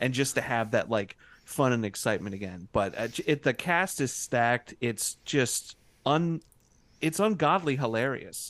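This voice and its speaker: A man with a plain, everyday voice, medium pitch, lively intonation and a moderate pace against a quiet background. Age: 30s. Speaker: podcast co-host, guest. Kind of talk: casual chat.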